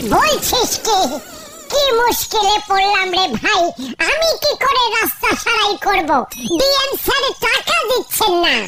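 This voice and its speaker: A cartoonish character voice speaks at a moderate pace with clear background noise. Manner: anxious, flustered.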